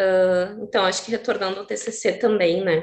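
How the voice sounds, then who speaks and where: With fairly even intonation, a woman talks in a medium pitch. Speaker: social worker speaker at a seminar. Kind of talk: panel talk. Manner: fast.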